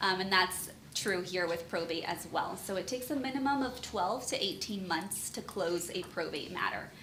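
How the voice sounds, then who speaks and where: A medium-pitched woman speaks at a moderate pace with lively intonation and hardly any pauses. Audible room echo and noticeable background noise are present. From Southern California, Chula Vista (San Diego area). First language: Spanish. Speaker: estate planning attorney. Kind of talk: seminar presentation. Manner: casual, with frequent fillers.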